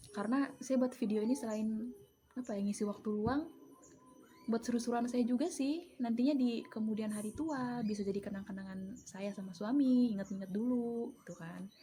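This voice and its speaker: Her pitch is fairly high for a woman, varying in an ordinary way as she talks at a moderate speed. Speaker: vlogger and home mushroom grower. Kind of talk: casual vlog explanation. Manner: casual, chatty.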